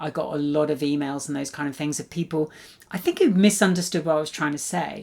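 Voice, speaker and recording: Intonation is fairly even. The words come at a fairly quick speed. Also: woman. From Cornwall, England. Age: old. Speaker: blogger and researcher. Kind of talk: casual monologue. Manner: hesitant, many fillers.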